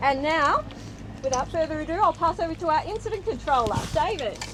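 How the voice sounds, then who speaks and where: A woman with an Australian accent, lively intonation and a moderate pace, over noticeable background noise. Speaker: fire service public information officer. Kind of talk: community meeting chairing.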